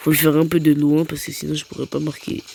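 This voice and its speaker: A soft-spoken woman amid noticeable background noise. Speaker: gaming YouTuber. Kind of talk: gameplay commentary.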